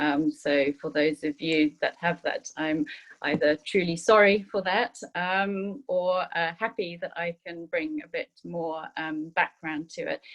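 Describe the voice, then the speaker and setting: In a British accent, a woman speaks at a fairly slow pace and a fairly low pitch with ordinary pitch variation, in a dry, close sound with no echo. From Zimbabwe. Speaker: food sustainability manager. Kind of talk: panel introduction. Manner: hesitant, many fillers.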